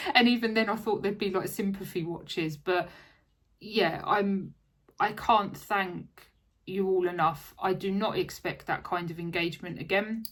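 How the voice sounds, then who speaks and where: A woman with an Essex accent, medium-pitched, at a moderate pace, with fairly even intonation, on a very clean recording against a silent background. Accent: southern English (Essex). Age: 30s. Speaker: craft vlogger. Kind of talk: casual chat. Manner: rambling, hesitant with fillers.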